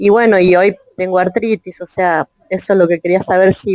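A woman with a Rioplatense accent talks at a medium pitch and a fairly slow pace in a monotone, flat intonation, the sound dry and close with no echo. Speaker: audience participant. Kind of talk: casual conversation. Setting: online audio chat room.

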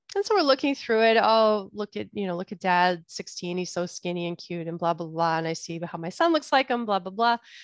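A woman with an ordinary speaking voice, medium in pitch, fairly quick and with hardly any pauses, lively in intonation, in a very clean, silent-background recording with a dry, close sound and no echo. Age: 40s. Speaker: podcast host and bodyworker. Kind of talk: solo podcast talk.

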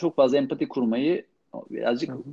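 This man's voice sits fairly high in pitch, with lively intonation. Vocal fry runs through his speech. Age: 40s. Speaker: sports journalist. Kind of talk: casual chat.

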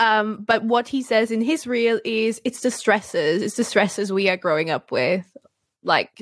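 A woman talks with a normal speaking voice at a moderate pace. The sound is dry and close with no echo, and her pitch variation is ordinary. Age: 20s. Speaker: podcast co-host. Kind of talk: casual chat.

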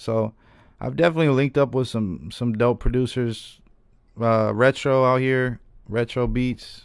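A man with an American accent has an ordinary speaking voice at medium pitch, talking at a moderate pace with fairly even intonation on a very clean recording with a silent background. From Reno, Nevada. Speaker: rapper. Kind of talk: casual chat. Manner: casual, laughing.

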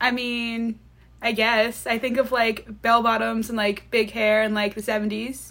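A woman with a Long Island accent and a fairly high pitch, at a fairly slow pace with monotone, flat intonation. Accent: New York (Long Island). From Long Island, New York. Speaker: college student. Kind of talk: casual chat.

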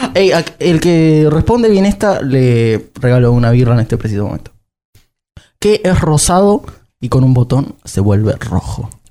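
At a fairly slow pace, a man speaks in a dark, mellow tone with very wide pitch swings. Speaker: podcast guest, actor. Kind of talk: casual chat.

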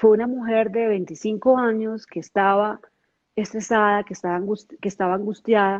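This woman has an ordinary speaking voice, talking at a moderate pace with a medium pitch and fairly even intonation. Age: 40s. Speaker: network marketing leader. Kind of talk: interview.

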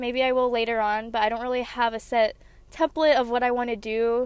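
A woman at a fairly high pitch and a moderate pace. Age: 20s. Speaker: podcaster. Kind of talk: casual monologue.

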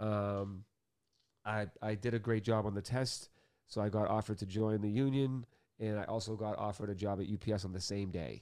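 With a Boston accent and fairly even intonation, a man speaks fairly quickly at a fairly low pitch in a very clean recording with a silent background. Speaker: author and music industry DJ. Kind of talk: casual interview chat.

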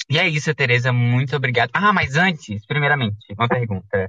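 A man with an unremarkable speaking voice of medium pitch talks at a moderate pace with lively intonation. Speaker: podcast host. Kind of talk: casual interview chat. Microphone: microphone problem, audio sounds odd.

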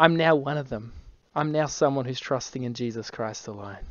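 An Australian accent with ordinary pitch variation. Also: man. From Australia, Brisbane. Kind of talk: evangelistic conversation.

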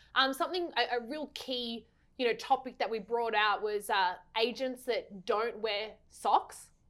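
A woman is speaking at a fairly slow pace. Her pitch varies in an ordinary way. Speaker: podcast co-host. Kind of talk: casual interview. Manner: animated.

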